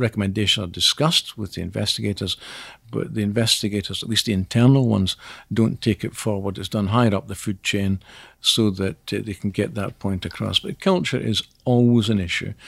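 A man with a Scottish accent speaks at a moderate pace, with a fairly low pitch and ordinary pitch variation. The recording is very clean with a silent background, and the sound is dry and close with no echo. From Scotland. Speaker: investigation training company CEO. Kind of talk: interview.

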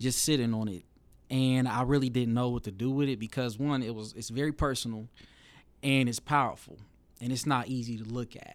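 At a fairly quick pace, a man talks with a medium pitch and fairly even intonation in a very clean recording with a silent background. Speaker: storyteller and filmmaker. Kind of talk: interview conversation.

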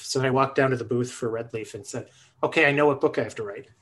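A man with an American accent speaks in a plain, everyday voice at medium pitch, fairly quick pace and ordinary pitch variation. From Buffalo, New York. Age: 50s. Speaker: early childhood educator and author. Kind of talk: casual interview conversation. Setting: video call.

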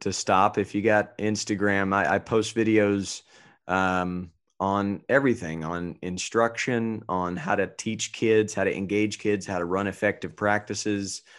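An unremarkable speaking voice with an American accent moves at a fairly slow pace. The intonation stays fairly even over a quiet background. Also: man. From North Carolina, Asheboro. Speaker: youth baseball coach. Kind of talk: interview.

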